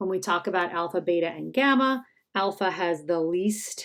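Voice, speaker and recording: A normal speaking voice moves at a moderate pace. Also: woman. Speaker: high school chemistry teacher. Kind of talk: tutorial.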